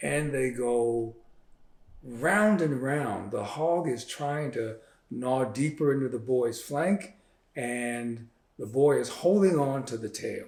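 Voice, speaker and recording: A man speaks very slowly while room echo can be heard. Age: 70s. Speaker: author and physician. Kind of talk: interview. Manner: halting.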